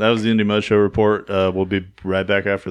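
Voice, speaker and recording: Against a quiet background, a man speaks at a fairly quick pace. His intonation is monotone and flat. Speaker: wrestling podcast co-host. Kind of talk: casual chat. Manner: mumbling.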